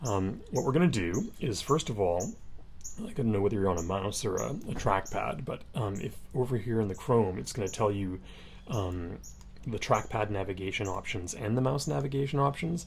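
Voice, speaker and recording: A man's fairly low, somewhat breathy voice with lively intonation and audible room echo. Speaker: instructor. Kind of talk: tutorial. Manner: fast.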